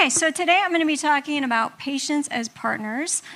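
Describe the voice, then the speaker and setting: A woman with an American accent speaks in a raised, projected voice. Her pitch varies in an ordinary way. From United States. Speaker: patient advocacy group president. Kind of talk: conference talk. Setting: stage with podium and audience.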